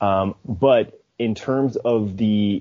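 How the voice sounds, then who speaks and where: Here a man talks in a fairly low pitch with a Chicago accent. His pitch variation is ordinary. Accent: American (Chicago). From Chicago, US. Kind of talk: casual chat.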